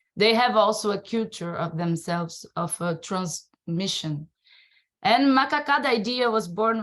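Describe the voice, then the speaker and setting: A woman with a Brazilian accent speaks at a fairly slow pace with ordinary pitch variation. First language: Portuguese. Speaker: circus and dance artist, researcher. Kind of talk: presentation. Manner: halting.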